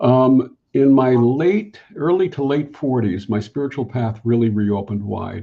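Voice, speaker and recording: A man's voice comes across as somewhat breathy. His pitch is medium and varies in an ordinary way. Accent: American. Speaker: spiritual counselor. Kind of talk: interview answer.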